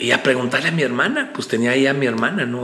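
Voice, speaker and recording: A man's medium-pitched voice in a central Mexican accent, very fast, with noticeable background noise. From Mexico, State of Mexico. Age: 50s. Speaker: preacher. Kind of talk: interview conversation.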